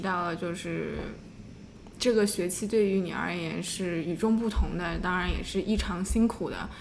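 There is audible room echo as a woman speaks at a fairly slow pace. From Shanghai, China. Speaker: podcast co-host. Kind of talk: scripted narration; casual interview.

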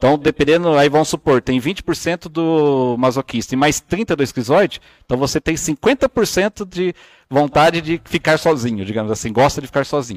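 Fairly high male voice with lively intonation at a moderate pace, on a very clean recording with a silent background. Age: 30s. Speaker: body language analyst. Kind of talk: casual chat. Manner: animated.

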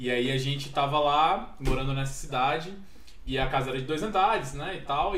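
Noticeable background noise and audible room echo surround a man speaking at a moderate pace. His pitch is fairly high, with ordinary variation. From Minas Gerais, then Brasília from age 7. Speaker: podcast guest. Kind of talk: casual chat.

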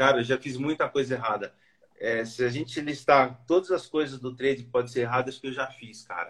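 Using an ordinary speaking voice, a man talks at a fairly quick pace in a medium pitch, with ordinary pitch variation and big swings in loudness. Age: 40s. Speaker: former engineer learning day trading. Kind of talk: casual interview.

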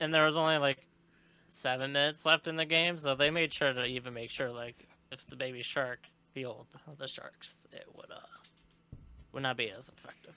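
The speaker moves at a fairly quick pace yet stops often for long pauses. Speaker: podcast co-host. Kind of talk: casual hockey game recap, reminiscing and chatting. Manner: rambling, halting, self-correcting.

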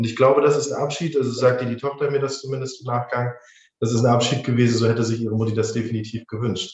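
At a very fast pace, a man talks at medium pitch with fairly even intonation and a somewhat breathy sound. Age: 20s. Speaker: funeral director. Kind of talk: interview.

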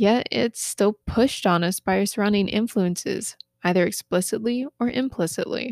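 A woman speaks in a plain, everyday voice with an American accent. Her pitch is medium with ordinary variation, and her pace is moderate. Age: 20s. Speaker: podcast host. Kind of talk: solo self-help podcast monologue. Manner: occasional stumbles and self-corrections.

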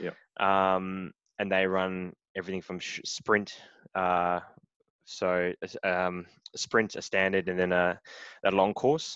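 A man's very deep, low voice with an Australian accent, very slow and monotone, broken by long, frequent pauses, dry and close with no echo over a quiet background. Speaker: triathlete. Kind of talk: casual interview. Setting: remote call.

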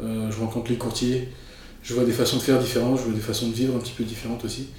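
A man's medium-pitched voice with audible room echo and noticeable background noise. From France, raised in Paris. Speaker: real estate photographer. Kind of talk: interview. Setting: studio.

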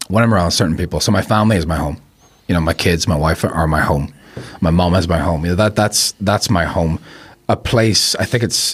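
With a Belfast accent, a man speaks in a very deep, low pitch with ordinary pitch variation and very even loudness, against noticeable background noise. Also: fairly quick pace. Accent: Belfast accent, milder than staunch Belfast. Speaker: filmmaker. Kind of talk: casual chat.

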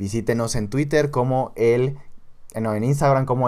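Heard in a very clean recording with a silent background, a man talks at a medium pitch with ordinary pitch variation and a plain, everyday voice. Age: 20s. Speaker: podcast co-host, university student. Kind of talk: casual chat.

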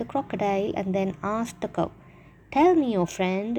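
Here a person reads in an unforced reading voice.

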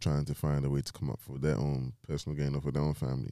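With a London accent, a man talks at a very fast pace. His pitch is very deep and low, with a dark, mellow tone. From London, England (Nigerian heritage). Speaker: podcast co-host. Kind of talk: casual chat.

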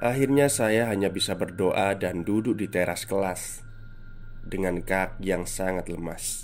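A man talks at a fairly slow pace in a normal speaking voice. His pitch is fairly low, with ordinary variation. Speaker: podcast host reading a listener's story. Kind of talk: horror storytelling narration. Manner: first-person narration with casual host asides.

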